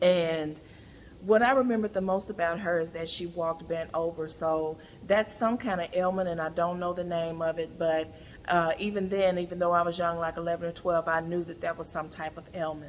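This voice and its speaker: A woman speaks at a moderate pace in a fairly low voice, her intonation fairly even. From US South. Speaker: brand founder and content creator. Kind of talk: monologue to camera. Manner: casual.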